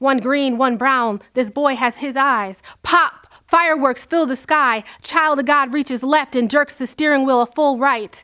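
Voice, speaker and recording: A woman's raised, projected voice sits high in pitch, with a bright, sharp tone and ordinary pitch variation. The recording is very clean with a silent background. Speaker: spoken word poet. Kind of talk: spoken word poetry performance.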